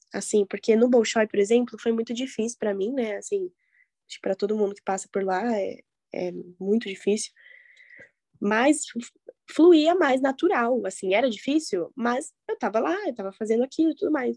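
A woman's fairly high, dark and mellow voice with lively intonation at a moderate pace, broken by long, frequent pauses, in a dry, close sound with no echo. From Curitiba, southern Brazil. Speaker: professional ballet dancer. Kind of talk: casual interview.

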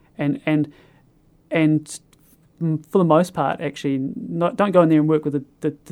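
A man with a New Zealand accent and a fairly high pitch speaks at a moderate pace in a dark, mellow tone. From New Zealand, North Island east coast. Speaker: teacher. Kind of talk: casual interview. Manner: halting, many fillers.

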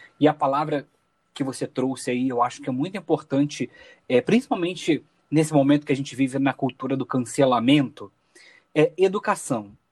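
A man's fairly high voice at a moderate pace, with ordinary pitch variation, in a very clean recording with a silent background and a dry, close sound free of echo. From Rio de Janeiro. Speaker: podcast host, journalist. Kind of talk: podcast conversation.

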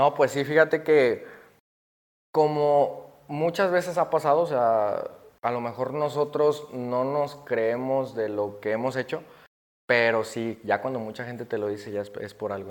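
On a very clean recording with a silent background, a man talks at a moderate pace and medium pitch, with ordinary pitch variation. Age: 20s. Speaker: barber. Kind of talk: casual interview. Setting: barbershop.

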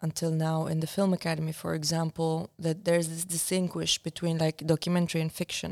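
A woman speaks with a fairly low pitch and a dark, mellow tone. The sound is dry and close, with no echo. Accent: Arabic. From Syria. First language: Arabic. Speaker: documentary filmmaker. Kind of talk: interview conversation. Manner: reflective, hesitant with fillers.

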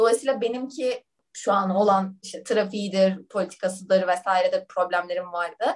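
Here is a woman with an unremarkable speaking voice and ordinary pitch variation. She keeps a moderate pace with hardly any pauses. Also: medium pitch for a woman. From Turkey. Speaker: management consultant. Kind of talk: casual interview.

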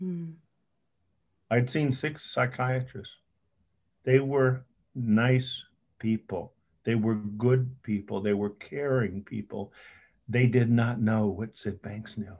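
A somewhat breathy man speaks at a very slow pace with long, frequent pauses, using medium pitch and ordinary pitch variation. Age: 70s. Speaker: psychiatrist. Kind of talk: interview. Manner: halting.

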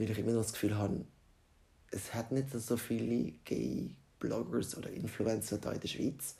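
Vocal fry runs through a man's dark, mellow voice at a medium pitch. He talks at a moderate pace with ordinary pitch variation. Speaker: podcaster. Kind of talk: casual monologue.

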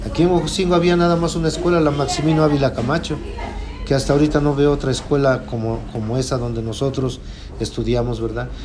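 Over noticeable background noise and audible room echo, a man with a fairly high voice speaks at a fairly quick pace. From Puebla, Mexico. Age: 50s. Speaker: farmer. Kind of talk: interview. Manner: halting.

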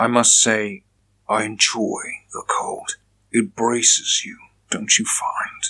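A man talks at a very slow pace in a put-on character voice. His loudness swings widely. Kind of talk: gothic Victorian drama. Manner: cold, brooding, menacing.

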